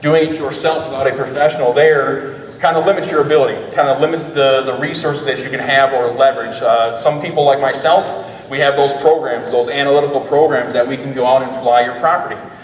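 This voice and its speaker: Over noticeable background noise and audible room echo, a man with a fairly high pitch talks very fast with fairly even intonation. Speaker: drone company owner presenting. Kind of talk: conference presentation. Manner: loud.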